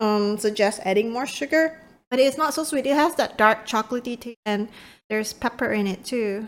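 In a very clean recording with a silent background, a woman speaks at a moderate pace with lively intonation. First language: not English. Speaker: podcast co-host, gamer parent. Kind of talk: casual chat.

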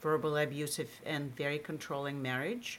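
With a Russian accent, a woman speaks in a very deep, low voice, her intonation fairly even. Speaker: marketing executive. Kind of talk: interview.

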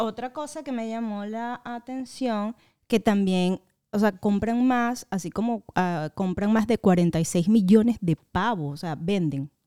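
A woman's dark, mellow voice at a very slow pace with lively intonation, in a dry, close sound with no echo on a very clean recording with a silent background. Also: fairly high pitch for a woman. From Venezuela. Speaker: podcast co-host. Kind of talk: casual chat.

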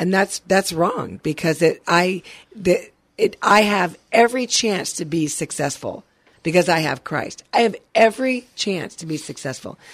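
A woman with an ordinary speaking voice, medium pitch and lively intonation at a fairly slow pace, in a very clean recording with a silent background. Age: 50s. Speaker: radio co-host and producer. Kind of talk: casual faith-based motivational chat.

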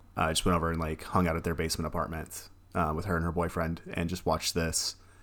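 A man speaks at a very fast pace with a very deep, low pitch. The recording is very clean, with a silent background. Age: 30s. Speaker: horror podcast co-host. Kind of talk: casual chat. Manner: animated.

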